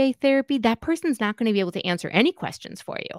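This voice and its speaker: Dry and close with no echo, the clip has a woman with a normal speaking voice talking at a fairly quick pace with ordinary pitch variation. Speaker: clinical psychologist and children's author. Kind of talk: interview.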